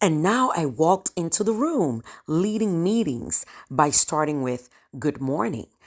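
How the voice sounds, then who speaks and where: With an African accent, a woman with a very deep, low pitch speaks slowly in an animated tone, her pitch swinging very widely. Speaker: storyteller. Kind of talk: personal storytelling.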